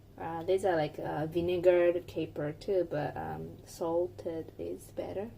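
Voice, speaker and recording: A woman with a Japanese accent speaks slowly in a dark, mellow, fairly low voice with vocal fry. Her intonation is flat and monotone, her loudness swings widely, and she hardly pauses. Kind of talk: cooking tutorial, translating a partner's explanation. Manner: hesitant, halting.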